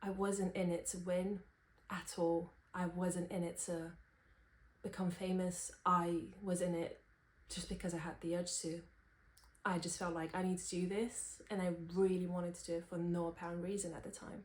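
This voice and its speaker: This woman talks at a moderate pace in a fairly low, somewhat breathy voice. Her intonation is monotone and flat, broken by long, frequent pauses. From Romania. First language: Romanian. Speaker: singer-songwriter and vlogger. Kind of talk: personal vlog talking to camera.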